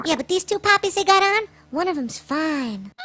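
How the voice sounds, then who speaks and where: In a cartoonish character voice, a woman speaks at an extremely high pitch with lively intonation at a moderate pace, the sound dry and close with no echo. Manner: brash, slangy, gossipy.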